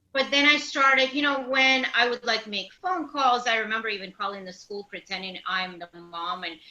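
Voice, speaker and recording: Noticeable background noise sits behind a speaker with a Russian accent. The delivery has hardly any pauses and lively intonation. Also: woman, fairly high pitch for a woman, moderate pace, big swings in loudness. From Latvia. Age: 50s. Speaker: matchmaker. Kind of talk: casual chat.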